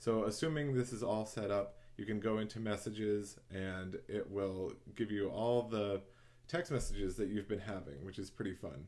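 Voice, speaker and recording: A man talks in a normal speaking voice, fairly low in pitch, at a moderate pace with ordinary pitch variation. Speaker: tutorial host. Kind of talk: tutorial. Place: home room. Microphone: webcam.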